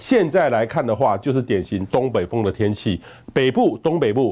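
A man with a Taiwanese accent uses lively intonation over a quiet background. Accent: Taiwanese Mandarin. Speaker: meteorologist; presenter. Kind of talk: weather forecast. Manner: conversational, many filler particles. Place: studio. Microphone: lapel.

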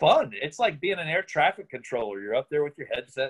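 A man's fairly high voice with an American accent, over a quiet background. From Virginia, Richmond; Virginia. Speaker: playwright and director; interviewee. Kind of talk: interview. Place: home room. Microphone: phone near.

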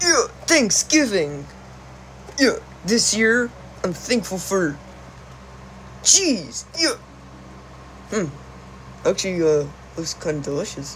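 Someone does a cartoonish character voice at a very slow pace, with long, frequent pauses. Background noise is clearly audible. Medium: puppet.

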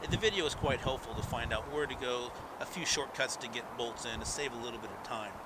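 There is noticeable background noise. The talking goes by very fast. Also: man, medium pitch for a man, ordinary pitch variation. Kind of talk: motorcycle review narration.

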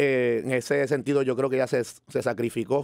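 A man with a plain, everyday voice speaks at a fairly high pitch with fairly even intonation, the sound dry with no echo and the background quiet. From Puerto Rico, San Juan. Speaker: musician; podcast guest. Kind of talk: interview. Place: studio. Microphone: studio mic.

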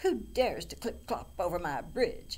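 Bellowing in a put-on character voice, a man goes at a moderate pace against clear background noise. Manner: roaring.

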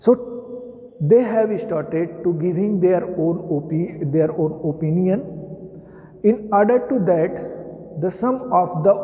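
Speaking at a fairly slow pace, a man has a high pitch and ordinary pitch variation. He takes long, frequent pauses. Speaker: teacher. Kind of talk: lecture. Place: classroom. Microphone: camera far.

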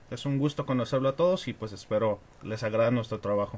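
A man speaks very fast in a somewhat breathy voice. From Mexico, Tijuana. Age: 20s. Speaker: wrestling fan. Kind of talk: casual chat.

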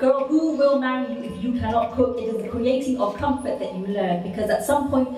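The speech runs at a fairly quick pace with ordinary pitch variation. Light background noise and audible room echo are present. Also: woman. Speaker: spoken word poet. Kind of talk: poetry performance. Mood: impassioned, rhythmic delivery. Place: hall.

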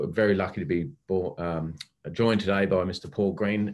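Against a quiet background, a man with an Australian accent speaks at a moderate pace with a fairly low pitch and fairly even intonation. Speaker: investigation course instructor, former police officer. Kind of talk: hosted online forum interview. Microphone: webcam.

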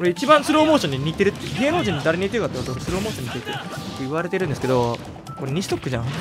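A man speaks. Music plays in the background. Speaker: game commentator. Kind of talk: gameplay commentary. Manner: whispered.

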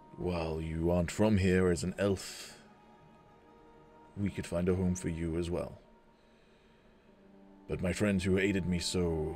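Putting on a gravelly character voice, a man speaks at a very deep, low pitch and a moderate pace, with long, frequent pauses and clear music in the background. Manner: regal, gracious, measured.

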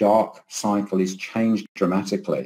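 A man's voice, dark and mellow in tone. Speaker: keynote speaker, professor. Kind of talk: lecture. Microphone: webcam.

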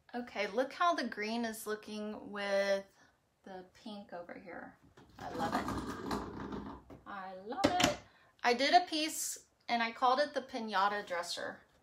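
A woman with an American accent speaks at a fairly high pitch and fairly slow pace, her tone animated. Her loudness swings widely over loud background noise. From Texas. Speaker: furniture painter and boutique owner. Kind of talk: live painting tutorial. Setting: garage, livestream. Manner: chatty, animated. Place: workshop. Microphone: phone near.

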